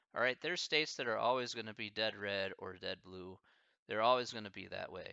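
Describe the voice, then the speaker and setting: This man talks with an American accent. His pitch varies in an ordinary way. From American Midwest. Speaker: streamer answering chat questions.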